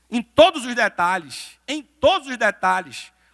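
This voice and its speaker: With a Recife accent, a man uses a raised, projected voice, high in pitch and bright and sharp in tone, at a fairly slow pace, in dry, close sound with no echo. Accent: northeastern Brazilian (Recife). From Brazil, Recife (Pernambuco). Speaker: lawyer, motivational speaker. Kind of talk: motivational talk. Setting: stage with audience in a church.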